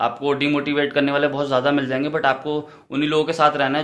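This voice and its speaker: Noticeable background noise sits behind a man's fairly high voice. He speaks at a moderate pace in a monotone, flat way. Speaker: vlogger. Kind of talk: casual vlog chat. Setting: at a relative's home, kitchen and drawing room.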